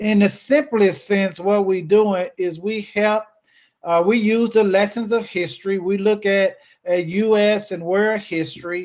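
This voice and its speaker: With an American accent, a man speaks at a high pitch and a fairly slow pace. His intonation is fairly even. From US South, Memphis, Tennessee. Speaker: educator and nonprofit speaker. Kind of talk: presentation to a club. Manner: hesitant with fillers and repeats.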